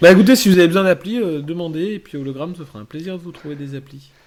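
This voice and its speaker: Ordinary pitch variation marks a man talking at a fairly quick pace. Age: 30s. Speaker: podcast host. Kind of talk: casual chat.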